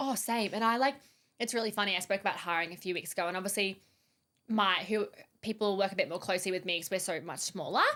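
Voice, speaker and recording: In a very clean recording with a silent background, a woman speaks loudly and very fast at a medium pitch, with a bright, sharp tone and fairly even intonation. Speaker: podcast host and business founder. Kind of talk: casual chat.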